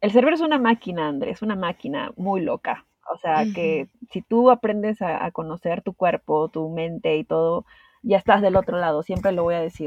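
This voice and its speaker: In a plain, everyday voice, a woman of medium pitch talks at a moderate pace with lively intonation. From Peru. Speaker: podcast guest sharing anxiety experience. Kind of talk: interview, personal testimony.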